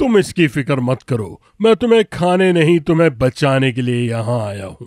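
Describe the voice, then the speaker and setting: A man's cartoonish character voice at a medium pitch and moderate pace. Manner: smooth, coaxing.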